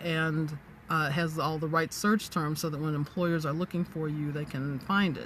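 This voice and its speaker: A woman with a very deep, low pitch speaks at a moderate pace. Her voice is somewhat breathy, with fairly even intonation. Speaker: business coach and livestreamer. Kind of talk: live-stream talk to viewers. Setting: in a parked car.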